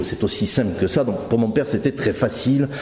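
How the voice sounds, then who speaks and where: A man speaks over noticeable background noise. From southern France, Carcassonne / Narbonne area. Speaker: conference speaker giving testimony. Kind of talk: testimony. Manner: halting, many hesitations.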